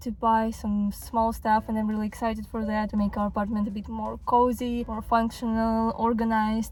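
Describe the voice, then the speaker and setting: At a moderate pace, a woman speaks in a somewhat breathy voice with fairly even intonation. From Ukraine. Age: 20s. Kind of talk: casual vlog talk to camera.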